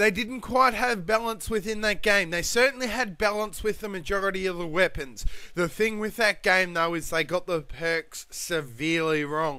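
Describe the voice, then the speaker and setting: Over music in the background, a man with an Australian accent uses a raised, projected voice at a high pitch, keeping a moderate pace with hardly any pauses and ordinary pitch variation. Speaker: gamer. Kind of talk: gameplay commentary. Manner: casual, ranting.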